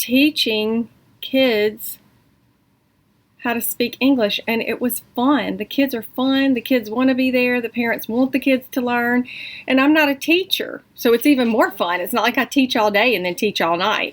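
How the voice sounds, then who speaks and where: A woman speaks with a high pitch and ordinary pitch variation. The recording is very clean, with a silent background. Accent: Southern US. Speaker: online English tutor and vlogger. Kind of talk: casual vlog update. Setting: at home. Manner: animated.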